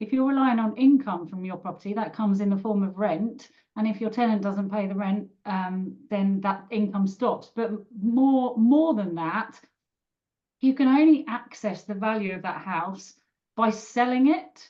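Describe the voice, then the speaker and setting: A woman speaks with a British accent at a moderate pace, her pitch fairly high. The voice is somewhat breathy, with ordinary pitch variation. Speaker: personal finance expert. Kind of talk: online webinar panel. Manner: hesitant, many fillers.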